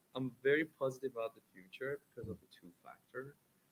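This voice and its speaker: This man has an Iranian accent and a medium pitch. His voice is somewhat breathy, and he talks at a fairly quick pace. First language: Persian. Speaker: accessibility technology developer. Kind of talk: panel discussion.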